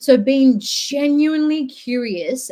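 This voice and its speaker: A woman speaks with an Australian accent and ordinary pitch variation. Her tone is dark and mellow. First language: not English. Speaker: podcast host and social worker. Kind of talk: casual chat.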